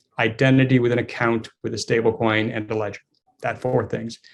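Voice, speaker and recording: A man with an American accent speaks in a plain, everyday voice at a medium pitch. His pace is fairly quick and his intonation fairly even. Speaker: fintech company executive. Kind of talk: conference talk. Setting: video call.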